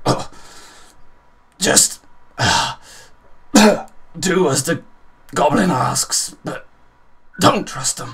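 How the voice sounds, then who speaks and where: In a put-on character voice, a man speaks raspy and high-pitched at a very slow pace. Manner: sputtering, weak, pained.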